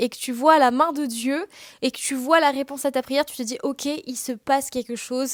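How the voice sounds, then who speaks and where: On a very clean recording with a silent background and a dry, close sound with no echo, a woman speaks at a high pitch and a moderate pace. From Réunion. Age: 20s. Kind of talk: casual podcast monologue. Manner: casual, with many fillers.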